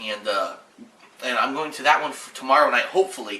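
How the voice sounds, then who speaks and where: A man speaks at a fairly quick pace with ordinary pitch variation. Noticeable background noise and audible room echo surround him. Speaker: gaming video creator. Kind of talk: channel update. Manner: halting.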